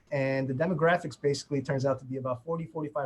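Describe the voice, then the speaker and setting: Speaking with a New York accent, a man has a fairly high, somewhat breathy voice and fairly even intonation. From New York, immigrant family. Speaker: prosecutor, immigrant affairs section chief. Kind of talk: webinar panel discussion.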